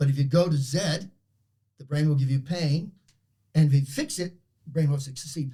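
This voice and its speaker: A man with an Australian accent speaks at a moderate pace in a fairly high, somewhat breathy voice. His tone is dark and mellow, and his pitch variation is ordinary. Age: 70s. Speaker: performance psychologist. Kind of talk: interview storytelling. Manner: animated.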